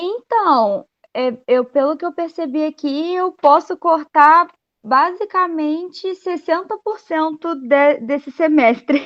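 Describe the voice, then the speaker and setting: At a very slow pace, a woman with an extremely high pitch speaks with lively intonation. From Brazil, Volta Redonda, Rio de Janeiro state. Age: 20s. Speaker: university student. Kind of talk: class introduction. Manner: halting.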